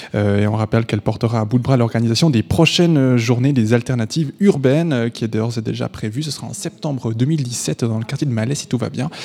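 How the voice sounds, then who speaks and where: A man has an ordinary speaking voice at a medium pitch. He talks at a fairly quick pace with ordinary pitch variation. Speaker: radio host. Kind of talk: live radio show presenting and interviewing. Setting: studio with live audience.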